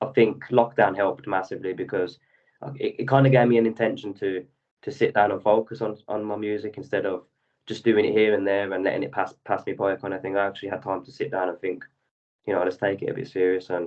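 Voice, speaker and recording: Words come very fast, the pitch moving in an ordinary way. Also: man, fairly low pitch for a man. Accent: London. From London, England. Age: 20s. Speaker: rapper and singer-songwriter. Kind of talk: interview.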